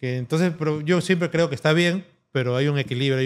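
At a very fast pace, a man talks with fairly even intonation. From Peru. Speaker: tattoo artist; guest. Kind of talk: interview. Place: studio. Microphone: studio mic.

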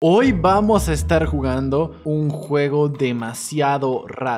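A man against light background noise. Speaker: gaming youtuber. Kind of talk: gameplay commentary.

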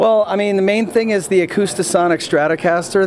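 The pace is fairly quick. Light background noise can be heard. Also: man. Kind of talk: interview answer. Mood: upbeat, proud. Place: hall. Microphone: handheld.

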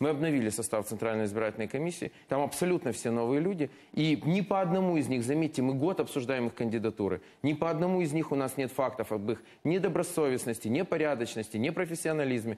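Talking at a very fast pace with very even loudness, a man with a fairly high pitch has a dark, mellow tone. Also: lively intonation. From Ukraine. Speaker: member of parliament; politician guest. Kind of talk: heated debate. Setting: studio. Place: studio. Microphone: lapel.

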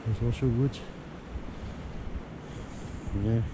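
A man's dark, mellow, medium-pitched voice with fairly even intonation at a very slow pace

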